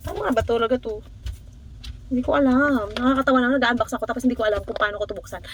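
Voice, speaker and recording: Speech comes at a very fast pace over noticeable background noise. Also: woman. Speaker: tech unboxing vlogger. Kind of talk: casual unboxing vlog. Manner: animated, excitable; halting, self-interrupting.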